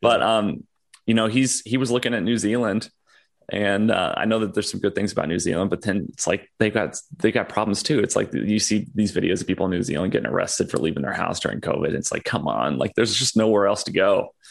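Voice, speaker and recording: Here a man with an American accent talks at a very fast pace. His voice sits fairly low and carries vocal fry. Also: ordinary pitch variation, quiet background. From California. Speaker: podcaster interviewing a libertarian. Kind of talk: casual conversational interview. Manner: halting, many fillers.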